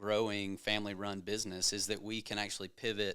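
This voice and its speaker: With a Southern US accent, a man speaks at a fairly low pitch in a bright, sharp tone and a fairly quick pace, in a very clean recording with a silent background. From Georgia, US South. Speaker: home builder executive. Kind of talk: casual chat.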